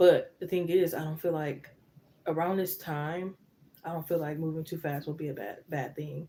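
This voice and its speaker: A soft-spoken woman's very deep, low voice, dark and mellow in tone, with flat, monotone intonation at a moderate pace. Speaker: tarot reader. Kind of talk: live tarot reading. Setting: live stream.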